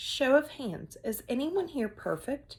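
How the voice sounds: A woman puts on a character voice, high-pitched with big pitch swings and a slightly mellow tone, delivered at a fairly slow pace.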